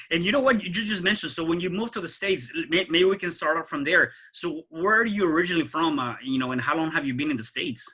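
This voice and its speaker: A man talks at a very fast pace with a high pitch. His intonation is lively and his tone bright and sharp. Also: hardly any pauses. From Mexico City. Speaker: podcast host. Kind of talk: podcast interview.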